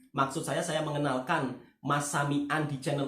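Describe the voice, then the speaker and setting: A man speaks with a Javanese accent. Room echo is audible. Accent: Javanese accent when speaking Malay. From Java, Indonesia. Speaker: YouTube reaction channel host, migrant worker. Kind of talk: casual chat. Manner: conversational, seeks agreement often.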